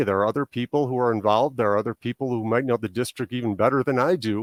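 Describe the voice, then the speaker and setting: At a very fast pace, a man with a slight Chicago accent speaks at a medium pitch with ordinary pitch variation, the sound dry and close with no echo in a very clean recording with a silent background. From Chicago area, Illinois, US. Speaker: political candidate. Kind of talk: interview answers.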